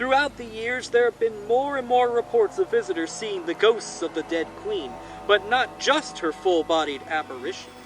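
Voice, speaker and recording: A man's loud, high voice at a moderate pace, with very wide pitch swings and music in the background. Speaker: horror storyteller, channel host. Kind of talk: spooky storytelling, ghost story narration. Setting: outdoors by a fire, recorded with a shotgun microphone. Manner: projected, loud.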